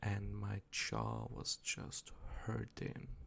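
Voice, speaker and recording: A soft-spoken man. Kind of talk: ASMR rambling, casual talk to camera. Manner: soft-spoken, rambly, groggy.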